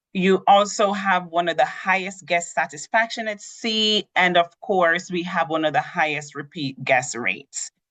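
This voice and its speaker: With a Jamaican accent, a woman speaks at a moderate pace with hardly any pauses, using a fairly low pitch and ordinary pitch variation. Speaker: cruise line sales representative. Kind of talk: tutorial.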